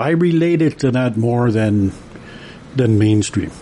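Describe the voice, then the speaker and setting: In a Canadian accent, a man speaks in a relaxed tone over noticeable background noise. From Canada, Alberta and northern British Columbia. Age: 60s. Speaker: construction worker and amateur painter. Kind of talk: interview. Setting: radio studio. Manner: relaxed, hesitant with many fillers.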